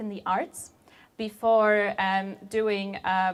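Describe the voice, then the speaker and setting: A woman is speaking. She has a Polish accent. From Poland. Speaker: software engineer. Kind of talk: conference talk.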